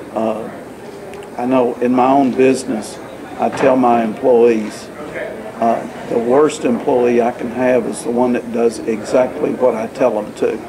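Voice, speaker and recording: A man speaks at a fairly slow pace. Noticeable background noise is present. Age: 60s. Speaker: accountant, first-time author. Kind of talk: interview answer. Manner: hesitant, frequent fillers. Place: meeting room. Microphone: camera far.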